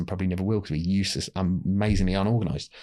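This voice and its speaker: A man with a London accent at a very fast pace, in a very clean recording with a silent background. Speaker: telecom industry publisher and podcast host. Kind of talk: casual podcast interview.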